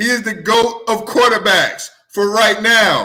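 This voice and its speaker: A man with an American accent and a raised, projected voice at an extremely high pitch, at a very slow pace. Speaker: sports show host. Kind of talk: sports talk show. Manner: loud; excited, animated.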